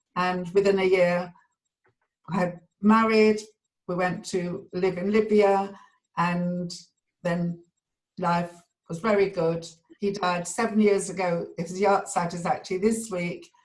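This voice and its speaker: A woman with a southern English accent speaks in a medium pitch with monotone, flat intonation at a fairly slow pace, leaving long, frequent pauses. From London (Edgware). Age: 70s. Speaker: community member sharing memories. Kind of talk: personal reminiscence. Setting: video call.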